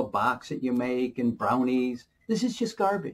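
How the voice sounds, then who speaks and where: A somewhat breathy man's voice. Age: 60s. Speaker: alternative health video creator. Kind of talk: casual monologue giving health advice. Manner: rambling, persuasive, filler-heavy. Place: office. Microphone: webcam.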